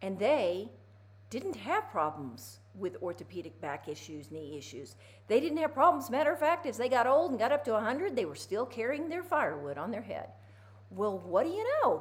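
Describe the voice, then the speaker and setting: Her pitch fairly high with very wide swings, a woman speaks at a moderate pace in an animated tone with vocal fry. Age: 60s. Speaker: physical therapist. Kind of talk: casual instructional talk to camera.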